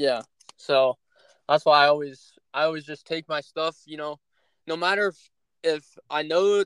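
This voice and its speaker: Recorded with a dry, close sound and no echo, a man with a Midwestern American accent speaks at a moderate pace and a fairly high pitch, with fairly even intonation. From Northeast Ohio. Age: young. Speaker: hunting content creator and podcast host. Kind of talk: casual chat. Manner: halting, many filler words.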